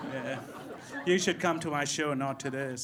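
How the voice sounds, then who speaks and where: With crowd noise in the background and audible room echo, a man speaks at a moderate pace with fairly even intonation. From India. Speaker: stand-up comedian. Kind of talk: stand-up. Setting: stage with audience.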